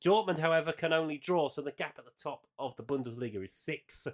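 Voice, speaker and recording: A man's fairly high voice comes through on a very clean recording against a silent background. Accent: English. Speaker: football podcast host. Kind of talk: casual chat.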